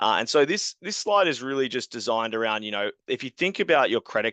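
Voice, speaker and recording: Speaking very fast in an Australian accent, a man has a bright, sharp tone. The sound is dry and close with no echo, and the background is quiet. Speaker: software company co-founder. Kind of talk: webinar product presentation.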